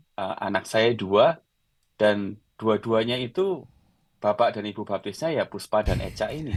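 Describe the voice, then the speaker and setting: A man's fairly low pitch with ordinary pitch variation, at a fairly slow pace. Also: very clean recording, silent background. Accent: Javanese. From Central Java, Klaten; long in Yogyakarta. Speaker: designer and singer-songwriter, blogger. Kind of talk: casual podcast interview.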